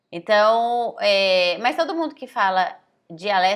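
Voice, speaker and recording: A woman's fairly high voice with very wide pitch swings, in a slight São Paulo accent. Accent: slight caipira (rural São Paulo). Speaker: language teacher. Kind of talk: online lesson. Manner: casual, conversational with many fillers.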